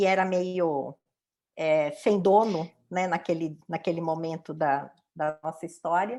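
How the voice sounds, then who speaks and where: At a very slow pace, a woman with a fairly low pitch and a dark, mellow tone keeps fairly even intonation against a quiet background. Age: 60s. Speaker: diversity and inclusion professional. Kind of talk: interview testimony.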